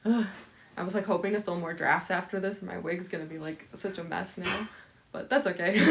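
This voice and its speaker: A woman with an American accent at a medium pitch and fairly quick pace, over noticeable background noise. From Chicago. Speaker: cosplayer livestreamer. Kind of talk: casual livestream chat. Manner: Valley Girl way of speaking, lots of 'like'; halting, repeats words.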